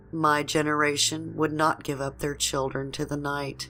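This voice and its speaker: This is a woman speaking. Music plays behind her. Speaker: horror story narrator. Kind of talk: horror story narration.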